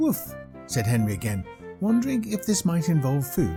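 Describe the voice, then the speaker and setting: Over music in the background, a man with a British accent speaks at a moderate pace. His fairly high voice moves in very wide pitch swings. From United Kingdom. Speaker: voice actor. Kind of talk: children's book narration.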